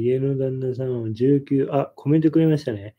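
A man talks in a dark, mellow tone with fairly even intonation at a moderate pace. The background is quiet. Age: 30s. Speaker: YouTuber, husband co-host. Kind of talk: casual live stream chat. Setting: home live stream. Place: home room. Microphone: phone near.

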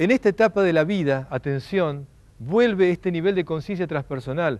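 Lively intonation from a man with a high-pitched voice. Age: 40s. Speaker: lecturer. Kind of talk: lecture. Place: garden. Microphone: lapel.

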